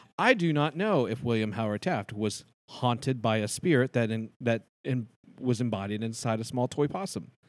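A man with an American accent at a medium pitch, moderate pace and ordinary pitch variation, on a very clean recording with a silent background. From US Midwest, Cincinnati. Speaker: actor and theatre producer. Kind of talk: interview.

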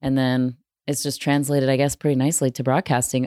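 Husky and very deep, a woman's voice with an American accent moves at a fairly quick pace in a dry, close sound with no echo, on a very clean recording with a silent background. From US Midwest. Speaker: sports broadcaster.

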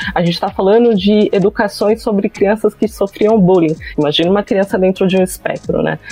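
A woman's fairly quick voice, fairly even in intonation and very even in loudness, with a dry, close sound with no echo and noticeable background noise. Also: medium pitch for a woman, hardly any pauses. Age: 30s. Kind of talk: casual chat.

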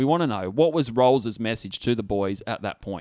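At a fairly quick pace, this is an ordinary speaking voice with lively intonation. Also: man. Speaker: podcast host. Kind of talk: casual chat. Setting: studio.

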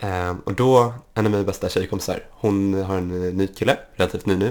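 Very clean and set against a silent background, the recording captures a man with a very deep, low-pitched voice. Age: 20s. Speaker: podcast guest with type 1 diabetes. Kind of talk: casual chat.

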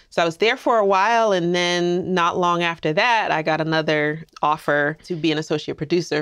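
Over a quiet background, a woman with an American accent talks in a fairly low pitch with ordinary pitch variation, an ordinary speaking voice. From US East Coast, New Jersey and Queens, New York. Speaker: filmmaker and film professor. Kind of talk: casual interview chat.

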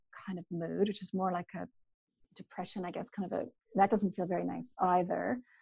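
A woman with a Canadian accent, a normal speaking voice, medium pitch and ordinary pitch variation. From Canada, mountain region. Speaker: naturopathic doctor. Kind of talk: interview.

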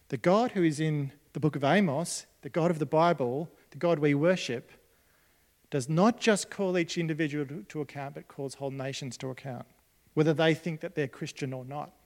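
A man with an Australian accent, fairly high-pitched, at a moderate pace, ordinary pitch variation and big swings in loudness. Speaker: pastor. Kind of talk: sermon. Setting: church.

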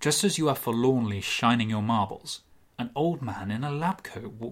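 Reading aloud, plain and simple

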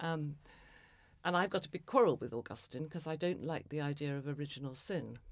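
A woman speaks at a fairly quick pace with a very deep, low pitch and ordinary pitch variation. The recording is very clean, with a silent background. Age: 70s. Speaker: novelist and former psychoanalyst. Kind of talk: interview conversation.

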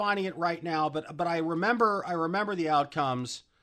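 Here a man talks at a moderate pace in a bright, sharp tone. His voice is raised and projected. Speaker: radio host. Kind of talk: casual chat. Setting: studio.

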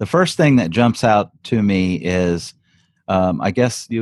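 This man speaks with an American accent and lively intonation. The sound is dry and close with no echo, on a very clean recording with a silent background. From South Louisiana. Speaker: digital product entrepreneur and course creator. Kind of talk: casual interview.

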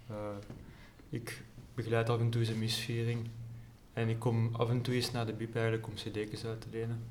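A man with a Flemish accent speaks at a moderate pace in a medium pitch, with monotone, flat intonation and long, frequent pauses. Room echo is audible. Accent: Flemish Dutch. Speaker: student and amateur pianist. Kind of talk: casual chat. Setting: library.

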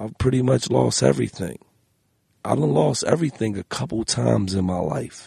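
A man's fairly low voice with vocal fry, very wide pitch swings and a moderate pace, dry and close with no echo. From Philadelphia, US. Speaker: music artist. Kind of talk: casual chat. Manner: animated.

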